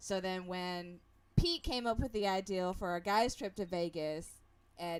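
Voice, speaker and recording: Speaking at a moderate pace, a woman has an American accent. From United States. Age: 40s. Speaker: online show host. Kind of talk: casual chat. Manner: halting, many repeats and fillers.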